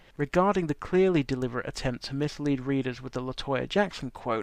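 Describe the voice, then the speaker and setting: Fairly high-pitched man in an English accent, ordinary pitch variation, quiet background. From England. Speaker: commentator on media regulation. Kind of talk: prepared commentary segment.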